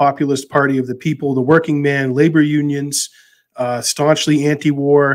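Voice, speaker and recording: A man with a plain, everyday voice, fairly high pitch and fairly even intonation. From Massachusetts. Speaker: podcast host. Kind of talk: casual chat.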